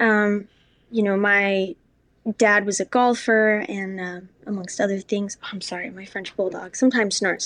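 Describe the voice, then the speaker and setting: An unremarkable speaking voice with an American accent and fairly even intonation moves at a moderate pace over a quiet background. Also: woman, medium pitch for a woman. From New York City. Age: 20s. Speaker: actress. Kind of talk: casual chat. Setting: at home.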